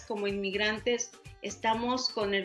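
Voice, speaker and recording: A woman speaks at a fairly slow pace with a Mexican accent, her intonation monotone and flat, while faint music plays in the background. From Mexico. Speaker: broadcaster, journalist, producer, university lecturer. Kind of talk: interview answer. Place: home room.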